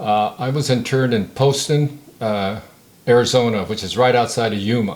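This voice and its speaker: With a Californian accent, this man talks at a moderate pace in a medium pitch, his intonation fairly even. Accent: General American (California). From San Diego, California. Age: 70s. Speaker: war veteran. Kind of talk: oral history interview. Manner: halting, many fillers.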